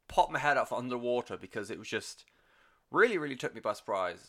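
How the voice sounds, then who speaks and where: Bright and sharp in tone, this voice moves at a fairly quick pace with a British accent. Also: man, very clean recording, silent background. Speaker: music podcast host. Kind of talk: solo podcast monologue. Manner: quiet; casual with fillers.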